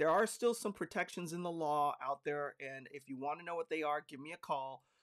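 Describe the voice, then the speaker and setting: In an unremarkable speaking voice, a man talks at a fairly quick pace with fairly high pitch and ordinary pitch variation. The recording is very clean, with a silent background and a dry, close sound with no echo. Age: 50s. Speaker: real estate broker and podcast host. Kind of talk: podcast monologue.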